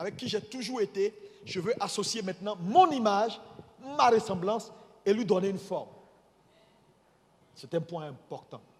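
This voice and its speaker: A man's high-pitched voice with lively intonation. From Ivory Coast. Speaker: bishop preaching. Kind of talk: sermon. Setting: church. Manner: deliberately slow.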